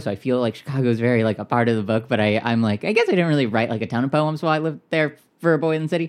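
A voice with an American accent on a very clean recording with a silent background. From US West Coast, Orange County, Southern California. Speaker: poet. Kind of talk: interview. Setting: home studio, in person.

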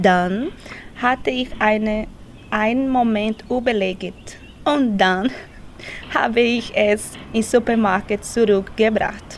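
A woman with a Portuguese accent speaks very slowly at a fairly high pitch, with ordinary pitch variation and long, frequent pauses. Noticeable background noise is present. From Brazil. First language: Portuguese (speaking German). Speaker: language course participant. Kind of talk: reading aloud.

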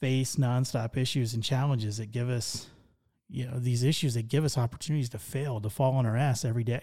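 The recording is very clean, with a silent background. A man speaks at a fairly quick pace and medium pitch in a dark, mellow tone. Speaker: podcast host, healthcare sales consultant. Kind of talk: solo podcast monologue. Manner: conversational, unscripted.

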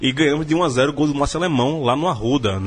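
With a somewhat breathy sound and ordinary pitch variation, a man talks at a very fast pace. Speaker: sports journalist. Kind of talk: casual chat.

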